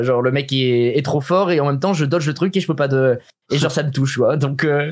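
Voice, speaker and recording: A man with a fairly high pitch speaks very fast with fairly even intonation. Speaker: streamer and former esports player. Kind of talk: casual interview. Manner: fast, sometimes stumbling.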